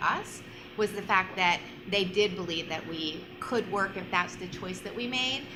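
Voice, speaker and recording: At a moderate pace, a woman with a medium pitch speaks with noticeable background noise and audible room echo. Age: 50s. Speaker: panelist. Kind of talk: panel discussion.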